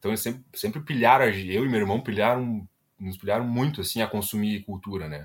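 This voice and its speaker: Talking at a fairly quick pace, a man with a plain, everyday voice keeps a fairly low pitch and ordinary pitch variation. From Rio Grande do Sul, Brazil (Ivoti). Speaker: product designer. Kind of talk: casual interview chat.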